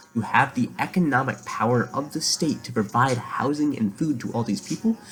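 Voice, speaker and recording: Noticeable background noise accompanies a man at a medium pitch, whose intonation is lively and whose pace is moderate. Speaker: vlogger. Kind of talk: casual monologue to camera. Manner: soft-spoken; halting, many fillers.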